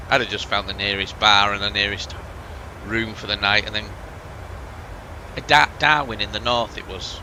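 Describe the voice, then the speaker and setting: A man with an English accent, fairly low in pitch, at a moderate pace with fairly even intonation and long, frequent pauses, over noticeable background noise. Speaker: flight sim streamer. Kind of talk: casual chat.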